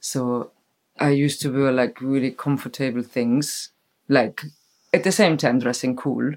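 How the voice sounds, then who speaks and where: Over a very clean recording with a silent background, a woman speaks with a German accent at a fairly slow pace. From Germany. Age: 40s. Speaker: festival decor maker and stage builder. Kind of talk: casual chat. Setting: sitting together on a bed at night.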